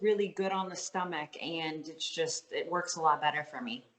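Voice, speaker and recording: This woman's voice sits fairly low in pitch. Her pitch varies in an ordinary way. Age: 30s. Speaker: professional fitness athlete. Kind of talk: interview. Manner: casual, filler-heavy.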